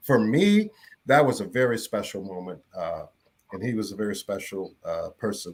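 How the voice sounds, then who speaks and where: A plain, everyday voice with an American accent, at a moderate pace with ordinary pitch variation. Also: man. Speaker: radio broadcaster. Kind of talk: casual panel chat.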